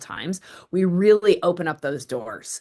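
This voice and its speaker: The background is quiet as a woman talks. Her pitch sits fairly low and her intonation is lively. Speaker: wellness practitioner. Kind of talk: interview. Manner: fast; intense rush of words.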